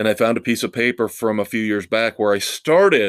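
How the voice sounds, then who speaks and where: A man speaks in an ordinary speaking voice, fairly low in pitch, at a moderate pace. The recording is very clean with a silent background and a dry, close sound with no echo. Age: 50s. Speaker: rock music podcast host. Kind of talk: solo podcast monologue.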